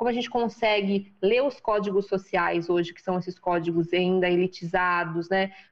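A woman with a São Paulo accent talks at a moderate pace and medium pitch. Her intonation is fairly even, with hardly any pauses. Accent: Brazilian Portuguese, paulistano. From Brazil, São Paulo (periphery, Freguesia do Ó). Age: 40s. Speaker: businesswoman and women's career mentor. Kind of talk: interview conversation.

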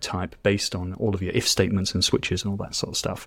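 Fairly quick speech from a man with a British accent. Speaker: TypeScript educator. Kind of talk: casual interview chat. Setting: remote call.

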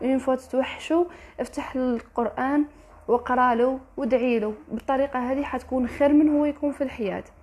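A woman speaks at a high pitch in an Algerian accent, her intonation fairly even over noticeable background noise. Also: moderate pace. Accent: Algerian Arabic with French code-switching. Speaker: motivational vlogger. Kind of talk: motivational monologue. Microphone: poor sound quality.

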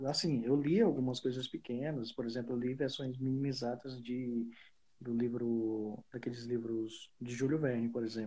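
At a moderate pace and with fairly even intonation, a man talks at a medium pitch in a somewhat breathy voice with a dark, mellow tone. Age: 20s. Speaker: IT professional, podcast co-host. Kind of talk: casual chat.

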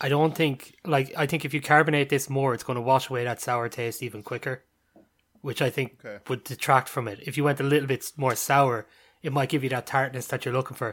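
On a very clean recording with a silent background, the intonation remains fairly even. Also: man, medium pitch for a man. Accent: Irish. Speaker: podcast co-host. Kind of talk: casual chat.

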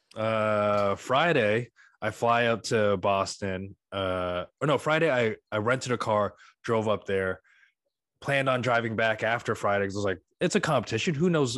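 A man with a plain, everyday voice, medium pitch, ordinary pitch variation and a moderate pace, over a quiet background. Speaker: comedian guest. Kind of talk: casual comedy interview.

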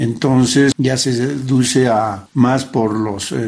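Noticeable background noise surrounds a man speaking at a medium pitch with fairly even intonation. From Bolivia, La Paz. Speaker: interviewee. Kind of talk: interview.

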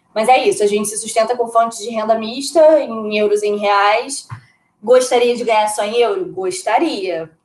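At a moderate pace, a woman with a plain, everyday voice talks at a fairly high pitch with ordinary pitch variation. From Brazil. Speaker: podcast co-host. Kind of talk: casual chat.

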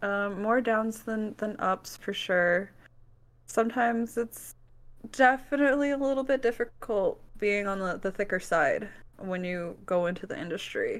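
On a very clean recording with a silent background, a woman with an American accent speaks at a moderate pace in an unremarkable speaking voice, fairly high in pitch with ordinary variation. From US Midwest, Wisconsin. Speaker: alternative model. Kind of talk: casual chat.

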